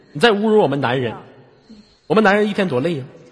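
An animated man with very wide pitch swings, against noticeable background noise. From Inner Mongolia, rural. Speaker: late-night radio host. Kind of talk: casual call-in chat. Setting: online voice-chat room. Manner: animated, joking.

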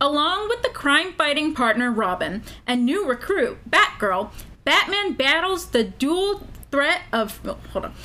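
With a raised, projected voice, a woman speaks at a fairly slow pace in a high pitch that makes very wide swings. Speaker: podcast co-host. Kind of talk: casual chat; reading a plot summary aloud. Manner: loud, projecting.

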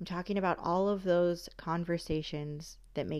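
At a moderate pace, the intonation stays monotone and flat. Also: woman. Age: 20s. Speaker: podcast host, self-love advocate. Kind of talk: solo podcast monologue. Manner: casual, conversational with fillers.

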